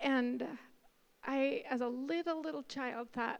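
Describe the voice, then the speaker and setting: This woman talks fairly slowly in a high-pitched voice. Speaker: artist. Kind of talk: testimony.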